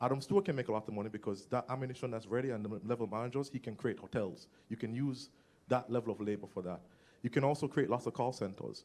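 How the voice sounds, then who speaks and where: Words come from this man very quickly. His pitch moves in an ordinary way. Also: medium pitch for a man. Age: 20s. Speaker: audience member asking a question. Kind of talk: audience question at a summit.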